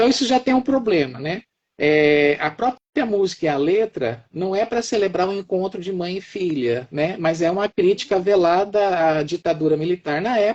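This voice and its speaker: Pitched high, a man speaks with lively intonation and hardly any pauses. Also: moderate pace. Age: 60s. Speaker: professor. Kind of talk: live-stream discussion. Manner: halting, repeats words.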